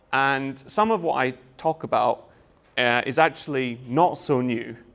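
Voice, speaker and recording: Speaking with a Scottish accent at a fairly slow pace, a man is heard in a very clean recording with a silent background. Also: medium pitch for a man, ordinary pitch variation. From Scotland. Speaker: university lecturer. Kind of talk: lecture. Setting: open day presentation with audience. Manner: hesitant, many fillers.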